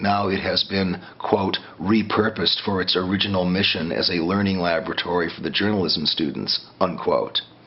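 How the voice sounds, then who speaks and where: Against noticeable background noise, a man speaks at a moderate pace in a very deep, low pitch with monotone, flat intonation. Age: 60s. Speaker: former community radio DJ. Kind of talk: interview. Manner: halting.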